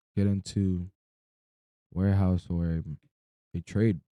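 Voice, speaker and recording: A man's very deep, low voice with a dark, mellow tone, monotone, flat intonation and a dry, close sound with no echo. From Florida. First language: not English. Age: 20s. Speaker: streamer. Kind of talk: casual livestream monologue. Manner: rambling, halting.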